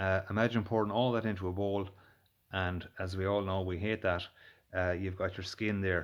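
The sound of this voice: At a moderate pace, a man speaks in a low voice with little pitch movement.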